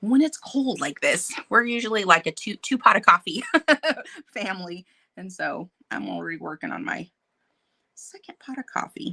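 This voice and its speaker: A woman with a bright, sharp tone and vocal fry swings very widely in pitch, leaving long, frequent pauses. The sound is dry and close, with no echo. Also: big swings in loudness. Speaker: painting channel host. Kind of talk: casual live stream chat. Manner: fast; animated.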